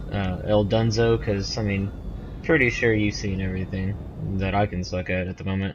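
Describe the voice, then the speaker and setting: A man with a slight Southern US accent, fairly low pitch, fairly even intonation and moderate pace, against noticeable background noise. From US South. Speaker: gamer. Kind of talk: gameplay commentary.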